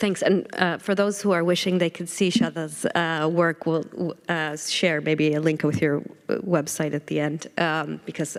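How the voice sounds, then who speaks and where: Very deep, low female voice with vocal fry and an American accent, fairly even intonation, moderate pace and hardly any pauses. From United States. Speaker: panel moderator. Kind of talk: panel discussion. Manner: hesitant, many fillers.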